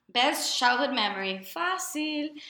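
Her tone bright and sharp, a woman speaks at a very slow pace with audible room echo. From Puerto Rico. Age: 20s. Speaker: podcast co-host, special education graduate. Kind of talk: casual chat.

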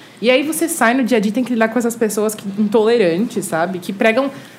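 There is noticeable background noise as a woman talks. She speaks fairly quickly in a fairly high pitch. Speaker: content creator. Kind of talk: casual chat.

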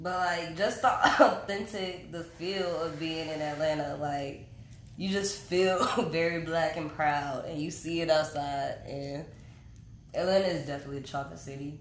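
A woman speaks at a moderate pace in a fairly low pitch, with ordinary pitch variation, big swings in loudness, and audible room echo. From North Carolina. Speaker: podcast co-host. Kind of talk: casual chat. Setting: live recording in Atlanta.

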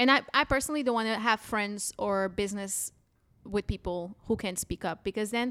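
In a very clean recording with a silent background, a woman speaks at a fairly quick pace in a Portuguese accent, her fairly high pitch showing ordinary variation. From Portugal. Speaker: stand-up comedian. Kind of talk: casual chat. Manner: animated.

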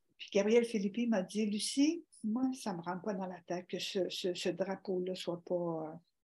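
A woman's somewhat breathy voice with a dark, mellow tone, ordinary pitch variation and a fairly slow pace. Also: medium pitch for a woman. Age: 60s. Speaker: organ donation advocate and teacher. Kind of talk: interview.

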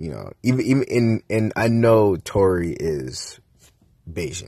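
The somewhat breathy voice rises and falls with lively intonation. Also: man. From Jamaican-American household, US. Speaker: podcast host. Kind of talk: casual monologue and album review. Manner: casual, many fillers.

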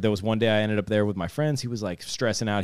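A man's fairly low voice with a Midwestern American accent. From northeast Ohio, Youngstown area. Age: 30s. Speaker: skateboarder. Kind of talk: casual chat.

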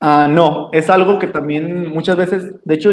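With an unremarkable speaking voice, a man keeps a moderate pace, a fairly high pitch and fairly even intonation. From Mexico, Jalisco. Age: 20s. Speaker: dental intern. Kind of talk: interview. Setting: video call.

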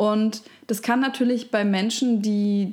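A woman speaks in a somewhat breathy voice. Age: 30s. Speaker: podcast host. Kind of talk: interview.

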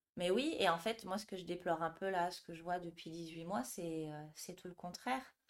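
In an unremarkable speaking voice, a woman talks at a moderate pace with hardly any pauses, her fairly low pitch showing ordinary variation while her loudness swings widely. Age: 30s. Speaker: yoga teacher. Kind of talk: interview.

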